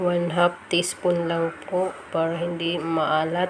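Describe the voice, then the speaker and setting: A woman with a fairly low pitch speaks at a very slow pace amid noticeable background noise. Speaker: home cooking vlogger. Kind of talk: cooking tutorial. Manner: casual, friendly.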